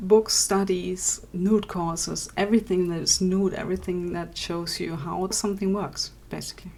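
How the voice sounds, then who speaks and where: A woman with a non-native accent, medium in pitch, at a moderate pace amid noticeable background noise. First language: not English. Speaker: digital artist. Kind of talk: podcast Q&A answers. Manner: casual, hesitant.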